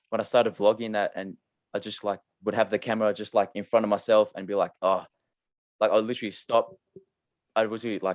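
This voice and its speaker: Recorded dry and close with no echo, a man with an Australian accent talks at a very fast pace. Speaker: podcast host, clothing brand founder. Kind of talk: casual interview chat. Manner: monotone.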